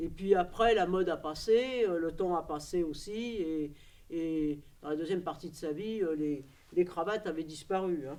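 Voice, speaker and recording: Dark and mellow in tone, a woman's voice sits fairly low in pitch. She speaks at a fairly slow pace with ordinary pitch variation. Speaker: documentary workshop participant. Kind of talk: personal testimony to camera. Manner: hesitant, many fillers.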